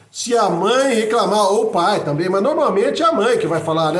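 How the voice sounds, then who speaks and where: Amid noticeable background noise and audible room echo, a man talks in a high voice. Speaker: political commentator and author. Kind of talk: monologue video message. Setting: improvised home recording. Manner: fast; halting with repetitions.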